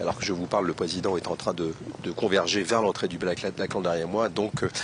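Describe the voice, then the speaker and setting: The speech comes at a fairly quick pace with fairly even intonation over noticeable background noise. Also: man, very deep, low pitch for a man. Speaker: TV reporter. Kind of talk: live field report. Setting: outdoors at a commemoration. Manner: soft-spoken.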